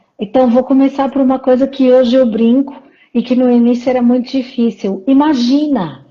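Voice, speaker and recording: A woman talks at a moderate pace in a high pitch. Her tone is dark and mellow. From Portugal, Porto. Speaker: psychologist and leadership coach. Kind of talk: interview in a live stream. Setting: live stream.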